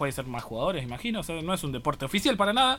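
Music plays in the background as a man speaks at a very fast pace. His intonation is lively. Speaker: university radio host. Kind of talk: casual radio chat.

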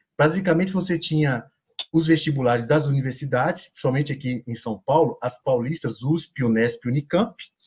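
A man talks at a moderate pace with a fairly high pitch. His intonation is lively and his voice somewhat breathy. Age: 40s. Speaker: sociology professor. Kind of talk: podcast interview.

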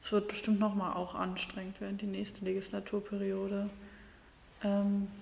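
Amid noticeable background noise, a woman speaks with monotone, flat intonation. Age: 20s. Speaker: podcast host, party volunteer. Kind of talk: interview.

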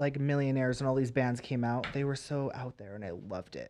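Fairly even intonation and medium pitch in a man's voice, a normal speaking voice. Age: 20s. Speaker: celebrity makeup artist. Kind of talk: casual chat.

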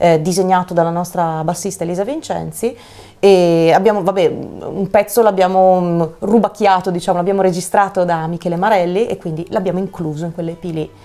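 This is a normal speaking voice. The woman's pitch is medium. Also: fairly even intonation, fairly quick pace. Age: 30s. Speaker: singer. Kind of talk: casual chat.

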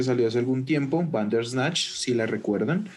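A man speaks at a moderate pace with a medium pitch, and audible room echo can be heard. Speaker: podcast host. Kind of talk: casual chat. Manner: animated.

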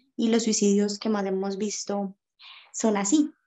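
In a plain, everyday voice, a woman speaks with fairly even intonation at a fairly high pitch. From Colombia, Cali. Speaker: makeup artist and makeup teacher. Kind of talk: casual interview on faith and depression.

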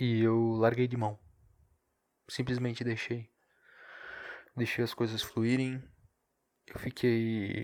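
A quiet, strained man's voice at medium pitch, very slow and flat in a monotone, with long, frequent pauses. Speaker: podcaster. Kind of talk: casual solo monologue. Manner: subdued, low energy; restrained, quieter delivery.

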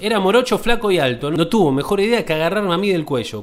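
Over noticeable background noise, a man with a Rioplatense accent talks very fast in a high voice with lively intonation. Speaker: podcast host. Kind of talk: reading aloud.

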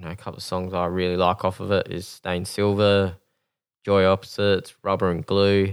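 A man speaks at a moderate pace in a very deep, low pitch. His intonation is monotone and flat, and the recording is very clean with a silent background. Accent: Australian. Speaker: podcast host. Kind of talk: casual chat.

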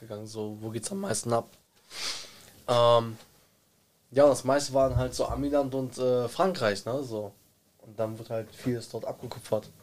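At a moderate pace, a man speaks with long, frequent pauses, big swings in loudness and ordinary pitch variation. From Germany, Bielefeld. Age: 20s. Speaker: rapper. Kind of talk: casual chat.

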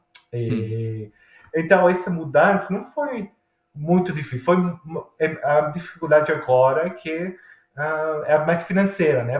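This man has an Italian accent and a fairly high pitch. His pitch varies in an ordinary way. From Italy, Milan. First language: Italian (speaking Portuguese). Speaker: engineering professor turned cook. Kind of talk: casual interview. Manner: halting.

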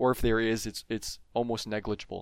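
A man with a Canadian accent speaks at a fairly quick pace and a medium pitch. He has a plain, everyday voice. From Ontario, Canada (Franco-Ontarian). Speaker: chemistry PhD student. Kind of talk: casual interview explaining research.

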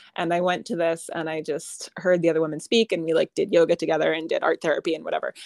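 A woman with an American accent and a fairly low pitch talks at a very fast pace with hardly any pauses and fairly even intonation, the sound dry and close with no echo. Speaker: author and writing teacher. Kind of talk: casual interview chat.

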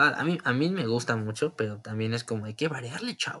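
Here a man speaks with a Mexican accent. His pitch is medium. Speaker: podcaster. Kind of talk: casual monologue. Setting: home recording.

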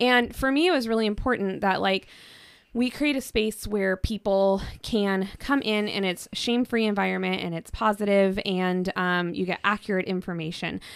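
Her Pacific Northwest accent comes through as a woman speaks at medium pitch with ordinary pitch variation. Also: moderate pace, very clean recording, silent background. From Washington State, Kitsap Peninsula. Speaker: sex coach and shop owner. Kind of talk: casual interview chat. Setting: studio.

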